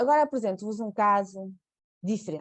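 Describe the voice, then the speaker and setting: Moderately paced female speech against a quiet background. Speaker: nurse. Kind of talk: webinar presentation. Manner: halting, many fillers and repeats.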